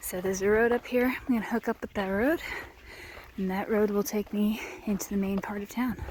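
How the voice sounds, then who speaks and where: Over noticeable background noise, a woman talks at a medium pitch with fairly even intonation. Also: fairly quick pace. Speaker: hiking vlogger. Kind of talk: vlog narration. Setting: outdoors. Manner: casual with fillers; keeping voice down.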